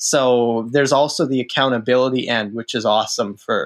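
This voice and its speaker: A normal speaking voice keeps fairly even intonation and a moderate pace. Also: man. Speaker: author. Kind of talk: casual chat.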